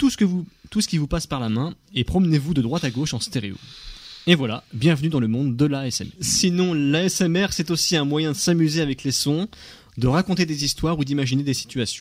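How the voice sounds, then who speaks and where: A plain, everyday voice from a man, fairly high in pitch, with lively intonation and a fairly quick pace. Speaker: radio host. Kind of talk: radio chat.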